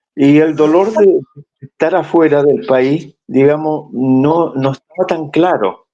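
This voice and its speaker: A man speaks in a dark, mellow tone, his pitch varying in an ordinary way. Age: 80s+. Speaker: former political militant interviewee. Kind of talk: oral history testimony. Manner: halting, many repetitions and fillers.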